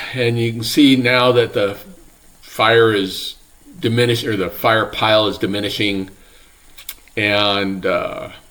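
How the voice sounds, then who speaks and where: A man's medium-pitched, relaxed voice at a fairly slow pace, with ordinary pitch variation, long and frequent pauses, and noticeable background noise. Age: 70s. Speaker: retiree doing property and forestry work. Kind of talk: casual talk to camera. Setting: outdoors. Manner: relaxed, hesitant with fillers.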